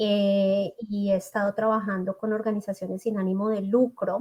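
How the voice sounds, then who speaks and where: A woman with a Bogotá accent, fairly high pitch, monotone, flat intonation and moderate pace. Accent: Colombian, Bogotá. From Colombia, Bogotá. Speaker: psychologist and school settlement counselor. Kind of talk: interview.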